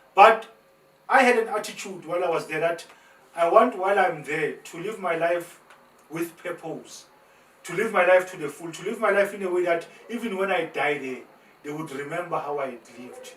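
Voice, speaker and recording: A man's high-pitched voice at a moderate pace, with ordinary pitch variation, big swings in loudness, long, frequent pauses and noticeable background noise. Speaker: motivational speaker and former prisoner. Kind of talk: testimony. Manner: animated; repetitive, halting.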